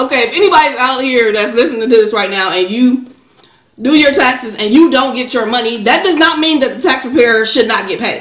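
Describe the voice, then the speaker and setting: A woman with a high pitch talks at a fairly quick pace with lively intonation, audible room echo and a quiet background. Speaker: mukbang co-host. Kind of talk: mukbang conversation with partner. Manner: playful, casual. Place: kitchen. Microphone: camera far.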